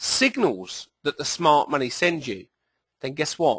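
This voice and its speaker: A man speaks with a British accent at a moderate pace. The background is quiet. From southern England. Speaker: trading educator, company executive. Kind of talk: presentation. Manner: hesitant, with fillers.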